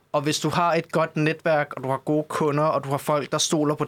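Here a man is speaking. His pitch is fairly high. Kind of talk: casual chat.

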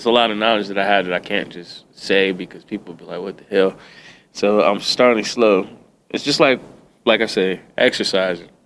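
A man with a plain, everyday voice speaks at a moderate pace. His intonation stays fairly even. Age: 30s. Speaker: podcast guest. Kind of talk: casual chat. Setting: studio.

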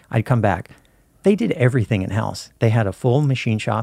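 In an ordinary speaking voice with an American accent, a man talks at a fairly quick pace with medium pitch and lively intonation, the sound dry and close with no echo on a very clean recording with a silent background. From Southern Oregon. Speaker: camera operator. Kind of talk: interview. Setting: studio.

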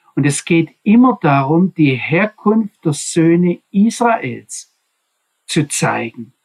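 Here a man talks at a very slow pace with a high pitch and lively intonation. The sound is dry and close with no echo, and the loudness stays very even. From Swabia, southwestern Germany. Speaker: Bible teacher. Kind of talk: Bible study lecture. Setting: video call.

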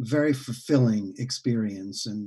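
A man talks in a dark, mellow tone with an American accent. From New York City (Bronx). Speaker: founder of a community music school. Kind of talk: interview. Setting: video call.

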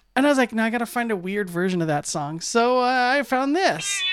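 On a very clean recording with a silent background, a woman speaks at a fairly high pitch with lively intonation. She has a normal speaking voice. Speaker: radio host. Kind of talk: casual chat. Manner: rambling.

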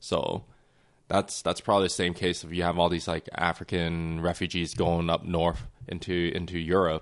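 A man speaks in a Canadian accent with a very deep, low pitch. His intonation is monotone and flat, at a moderate pace against a quiet background. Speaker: podcast co-host. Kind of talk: casual chat. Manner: casual, laughs often.

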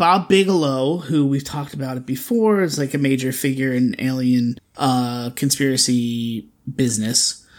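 Very clean recording, silent background, with a man's plain, everyday voice at medium pitch, moderate pace, ordinary pitch variation and hardly any pauses. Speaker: podcast co-host. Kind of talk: casual chat.

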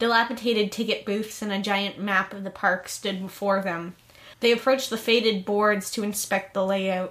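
With fairly even intonation, the text is read aloud in a natural voice.

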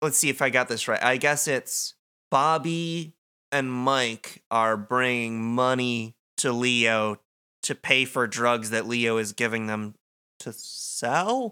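At a very slow pace, a man speaks with a medium pitch, fairly even intonation and a bright, sharp tone on a very clean recording with a silent background. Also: dry, close sound with no echo. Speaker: podcast host. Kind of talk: casual chat, podcast discussion.

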